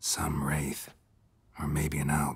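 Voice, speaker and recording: Raspy and very deep, a man's put-on character voice carries a deadpan tone. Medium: video game. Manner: terse, deadpan.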